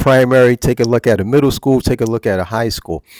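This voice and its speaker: Speaking with a New Jersey accent, a man talks at a fairly quick pace in a medium pitch. The sound is dry and close, with no echo. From US Northeast, Newark, New Jersey. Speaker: retired teacher, channel presenter. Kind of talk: casual monologue. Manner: casual, repetitive with fillers.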